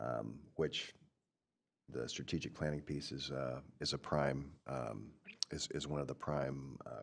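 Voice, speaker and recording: A man talks at a fairly slow pace in a very deep, low pitch with vocal fry and long, frequent pauses. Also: fairly even intonation. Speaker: county commissioner. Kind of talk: board meeting report. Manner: halting, many fillers.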